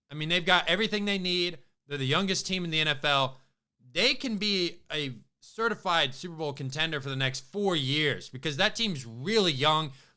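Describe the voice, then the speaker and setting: A man speaks at a moderate pace in a fairly high pitch, with a bright, sharp tone and ordinary pitch variation. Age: 20s. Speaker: sports podcast host. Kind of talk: casual sports commentary monologue. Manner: animated.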